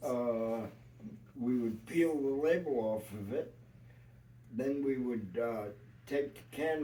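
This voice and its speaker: A man with a New York accent at a very slow pace. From New York City. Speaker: retired union carpenter. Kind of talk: family interview storytelling. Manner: hesitant, many filler words.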